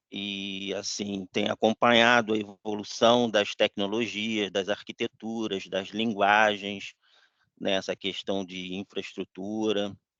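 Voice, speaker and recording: The voice is bright and sharp, flat and monotone, at a very slow pace. The sound is dry and close with no echo against a quiet background. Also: man, fairly low pitch for a man. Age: 60s. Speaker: webinar attendee, IT professional. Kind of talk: casual discussion.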